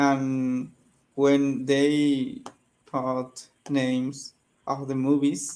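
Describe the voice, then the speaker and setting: In a Spanish accent, a man talks very slowly in a fairly high pitch with flat, monotone intonation and long, frequent pauses. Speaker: English learner. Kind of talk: casual chat. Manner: halting.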